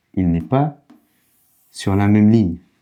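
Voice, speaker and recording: The man's fairly low pitch and dark, mellow tone come with ordinary pitch variation. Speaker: language teacher. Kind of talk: tutorial. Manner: slow, didactic.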